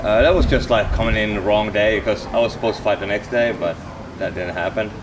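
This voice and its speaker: Noticeable background noise behind a man in a Finnish accent, fairly low in pitch, very fast, with ordinary pitch variation. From Finland. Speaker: MMA fighter. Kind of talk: casual chat.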